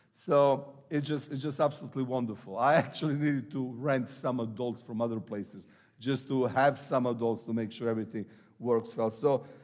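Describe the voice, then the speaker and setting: Medium-pitched man's voice with an Eastern European accent, fairly even intonation and a fairly quick pace on a very clean recording with a silent background. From Serbia. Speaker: pastor. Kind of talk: sermon. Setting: church. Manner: halting.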